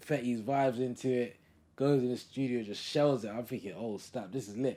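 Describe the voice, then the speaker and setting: Medium pitch from a man, moderately paced, with a dark, mellow tone. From London. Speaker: music producer. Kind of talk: casual interview chat.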